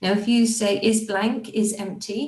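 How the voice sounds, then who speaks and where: A woman's fairly high-pitched voice, an ordinary speaking voice. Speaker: software consultant. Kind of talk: tutorial.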